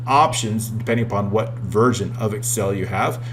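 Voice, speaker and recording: Music plays in the background as a man with a medium pitch speaks, with audible room echo. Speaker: Excel software trainer. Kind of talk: tutorial. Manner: fast; animated.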